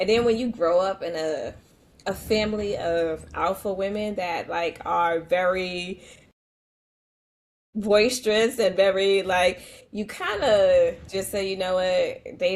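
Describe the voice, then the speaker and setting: With a New York accent, a woman speaks fairly slowly. Her medium-pitched voice keeps fairly even intonation. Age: 40s. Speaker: educator. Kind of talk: podcast interview.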